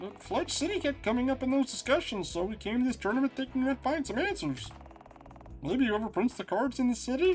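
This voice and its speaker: A man does a put-on character voice at an extremely high pitch, with lively intonation and a fairly quick pace. Clear background noise runs underneath. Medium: game stream. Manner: confident, breezy.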